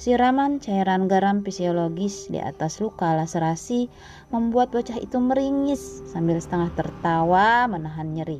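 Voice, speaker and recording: A woman talks with a lively, bouncing intonation at a medium pitch. Music plays in the background. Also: moderate pace. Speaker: podcast host reading a story. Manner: emotional, solemn, expressive, pathos-laden storytelling; formal, poetic, measured literary diction.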